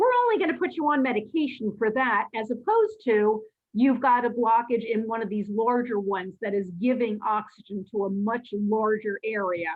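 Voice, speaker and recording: In a normal speaking voice, a woman with a fairly high pitch and ordinary pitch variation talks at a moderate pace with hardly any pauses. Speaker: lecturer on cardiology. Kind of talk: lecture.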